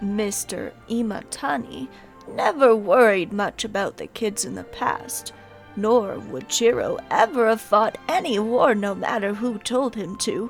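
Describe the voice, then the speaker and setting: A female-sounding voice in a put-on character voice speaks fairly slowly at a fairly high pitch. Clear music plays in the background. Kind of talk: video game fan dub. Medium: dub.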